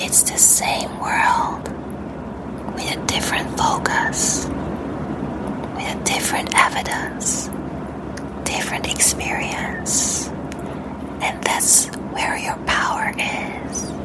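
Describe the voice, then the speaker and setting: With noticeable noise in the background, the speaker whispers very slowly. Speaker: mindset and personal growth content creator. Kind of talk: soft-spoken ASMR guided reflection. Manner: soft-spoken, slow, calming.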